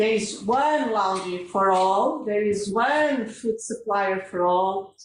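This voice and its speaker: In a Portuguese accent, a woman with a fairly high pitch speaks at a very slow pace, with audible room echo around her. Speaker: hospital pharmacy director. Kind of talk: conference talk. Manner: halting.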